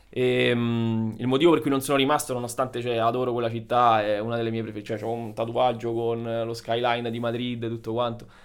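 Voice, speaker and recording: This man talks at a fairly quick pace with hardly any pauses. His medium-pitched voice has monotone, flat intonation. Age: 30s. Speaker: dentist. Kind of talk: casual chat.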